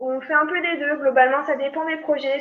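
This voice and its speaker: A woman speaks at a moderate pace in a high pitch. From rural France. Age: 30s. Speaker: fluid mechanics engineer. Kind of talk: interview conversation. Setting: remote call.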